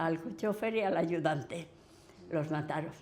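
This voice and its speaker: A woman in a Madrid accent at a fairly slow pace. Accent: Castilian Spanish (Madrid region). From Villanueva de la Cañada, Madrid region, Spain. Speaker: oral history witness. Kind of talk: interview answer.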